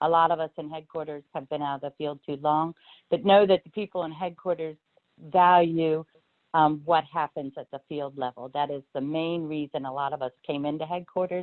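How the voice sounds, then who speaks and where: Her pitch is very deep and low. The woman speaks at a moderate pace with fairly even intonation. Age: 60s. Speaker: agency division director. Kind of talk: virtual career talk. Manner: hesitant with many ums.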